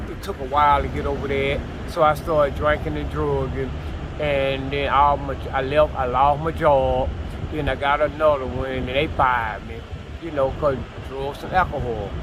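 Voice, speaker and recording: This man speaks at a moderate pace, his medium pitch swinging very widely. Noticeable background noise and audible room echo fill the recording. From Atlanta, West Side. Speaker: homeless man. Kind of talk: street interview.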